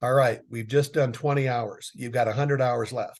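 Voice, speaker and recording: A man's plain, everyday voice at a medium pitch, fairly quick pace and fairly even intonation, over a quiet background. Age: 60s. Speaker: business consultant. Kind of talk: casual chat.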